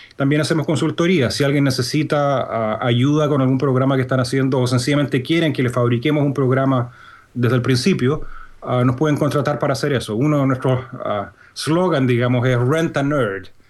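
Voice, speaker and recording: A man's medium-pitched voice with a Chilean accent, fairly even intonation, very even loudness and a fairly quick pace. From Chile, Santiago. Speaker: programming instructor. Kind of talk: interview. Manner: hesitant, many fillers.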